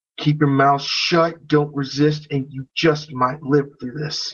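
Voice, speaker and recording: A put-on character voice growls at a low-to-middle pitch. It moves at a fairly slow pace with monotone, flat intonation. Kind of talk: salty, gruff. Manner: growling, condescending.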